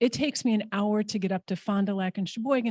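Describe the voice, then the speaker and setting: Dry, close sound with no echo and a quiet background, a woman's somewhat breathy, medium-pitched voice at a fairly quick pace. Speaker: immigration legal services director. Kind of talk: conference panel talk. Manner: fast; casual.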